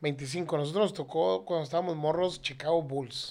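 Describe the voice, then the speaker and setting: A normal speaking voice from a man, fairly high in pitch, with ordinary pitch variation at a moderate pace, in a very clean recording with a silent background. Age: 30s. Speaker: air conditioning parts seller. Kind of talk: casual chat.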